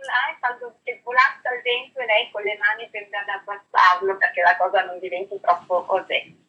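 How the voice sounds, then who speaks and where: An ordinary speaking voice moves at a fairly quick pace, with big swings in loudness and ordinary pitch variation. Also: woman, medium pitch for a woman. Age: 50s. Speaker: perfume brand training manager. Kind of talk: interview.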